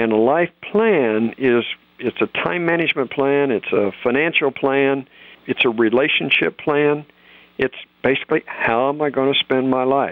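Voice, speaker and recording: Here is an ordinary speaking voice at a moderate pace. Its pitch variation is ordinary. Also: man. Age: 60s. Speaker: financial author and planner. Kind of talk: interview conversation.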